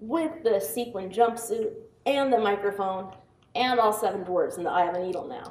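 There is audible room echo as a woman talks at a moderate pace in an American accent. Her pitch is fairly high, with ordinary variation. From US Pacific Northwest, Seattle. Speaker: software tester and quality director; conference speaker. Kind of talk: conference talk. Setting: stage with audience. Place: hall.

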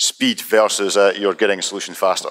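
The man's voice sits fairly low. He keeps a fairly even intonation. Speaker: presenter of software demo. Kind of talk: technical presentation.

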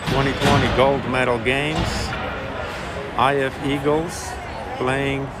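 A man talks at a very slow pace over loud background noise. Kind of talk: casual commentary. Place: stadium. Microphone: phone near.

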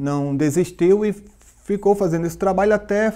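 The background is quiet. A man with a high pitch speaks at a moderate pace. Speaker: interview guest. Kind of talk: interview answer. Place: studio. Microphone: lapel.

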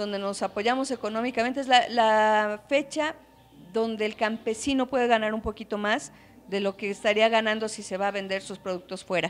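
A woman speaks with a central Mexican accent at a fairly high pitch. Her intonation stays fairly even. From Calpan, Puebla, Mexico; Puebla, Mexico. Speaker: hotel and restaurant owner, traditional cook. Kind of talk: interview. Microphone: handheld.

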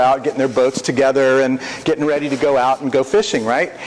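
A man talks at a very fast pace over light background noise. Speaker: preacher. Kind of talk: sermon. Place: church.

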